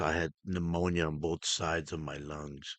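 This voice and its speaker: A man talks at a fairly slow pace in a very deep, low voice. The sound is dry and close with no echo, and the background is quiet. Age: 60s. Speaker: podcast host. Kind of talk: casual podcast talk, storytelling. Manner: slow, hesitant, with many filler words.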